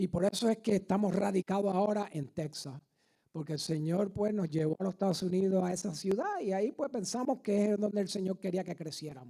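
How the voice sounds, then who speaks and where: This man's voice is high in pitch. He speaks at a fairly quick pace. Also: ordinary pitch variation. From Puerto Rico. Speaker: guest preacher and army veteran. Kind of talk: sermon. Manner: hesitant, many fillers.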